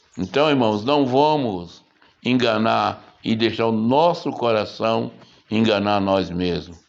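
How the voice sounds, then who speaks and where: A man speaks with a Brazilian accent at a medium pitch, his loudness very even. His pace is very slow and his intonation lively. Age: 70s. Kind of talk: sermon.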